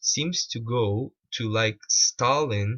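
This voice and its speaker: A man speaks with a Portuguese accent at a medium pitch. His voice is somewhat breathy. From Portugal. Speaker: video critic / commentator. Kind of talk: commentary on a played video. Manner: halting, many repetitions.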